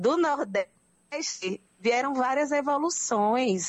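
A woman talks with lively intonation. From Brazil, Northeast (Pernambuco). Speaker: anthropologist. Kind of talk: radio interview.

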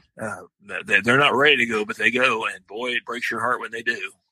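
A man's bright, sharp tone with a slightly husky edge, fairly quick pace, and a dry, close sound with no echo. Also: medium pitch for a man, ordinary pitch variation.

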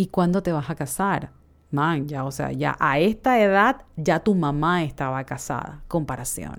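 A woman with a Panamanian accent speaks at a fairly slow pace with a very deep, low pitch. Her voice shows vocal fry and ordinary pitch variation. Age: 30s. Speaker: podcast host. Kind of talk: reflective solo monologue.

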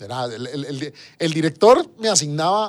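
A man speaks. His intonation is lively. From Costa Rica, San José (Desamparados). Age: 40s. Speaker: government minister. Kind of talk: interview. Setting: radio studio. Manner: halting, with many fillers and repetitions.

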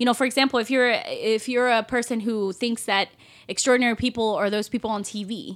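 Very clean with a silent background, the recording holds an unremarkable speaking voice at a fairly quick pace with fairly even intonation. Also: woman. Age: 30s. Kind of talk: casual faith discussion.

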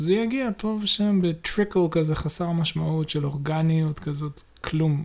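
The speech moves at a very slow pace. Its intonation is fairly even. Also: man. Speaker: podcast co-host. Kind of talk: casual chat.

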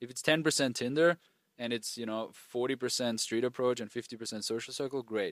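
With a German accent, a man speaks at a medium pitch with fairly even intonation, in a dry, close sound with no echo on a very clean recording with a silent background. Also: fairly quick pace. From rural Austria. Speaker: dating coach. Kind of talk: casual interview. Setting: outdoors at a villa in Turkey.

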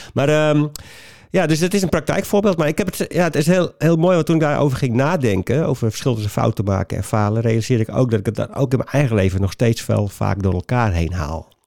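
Talking at a very fast pace, a man with a medium pitch lets his voice swing very widely up and down. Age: 50s. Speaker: trainer and author on failure. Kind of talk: casual interview.

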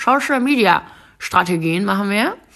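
On a very clean recording with a silent background, a woman speaks very slowly in a bright, sharp tone. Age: 20s. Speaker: podcast host and influencer. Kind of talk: casual solo monologue. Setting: at home on her couch. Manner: chatty, with frequent fillers and laughs.

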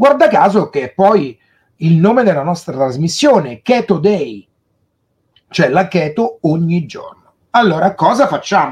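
Pausing long and often, a man speaks at a fairly slow pace, his high pitch swinging very widely. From Italy, Rome. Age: 50s. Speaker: keto diet livestream host. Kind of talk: casual livestream talk.

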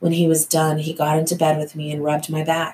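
This soft-spoken woman has a very deep, low pitch and a gentle, somewhat breathy tone. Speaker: thriller author and podcast host. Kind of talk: reading aloud from own novel. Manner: soft and gentle-sounding.

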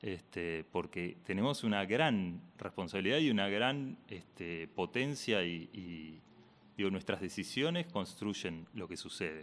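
With lively intonation, a man speaks in a fairly low pitch at a very slow pace. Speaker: radio host. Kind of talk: interview.

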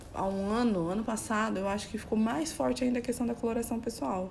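With audible room echo, a woman speaks at a medium pitch in a dark, mellow, somewhat breathy tone, her pitch varying in an ordinary way. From São Paulo, Brazil. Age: 30s. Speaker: image and style consultant. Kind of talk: casual chat.

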